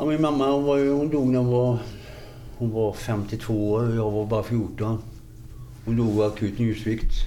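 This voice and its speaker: With a dark, mellow tone at medium pitch, a man speaks at a fairly slow pace and with fairly even intonation, pausing long and often in audible room echo. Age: 50s. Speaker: recovering addict sharing life story. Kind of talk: interview testimony.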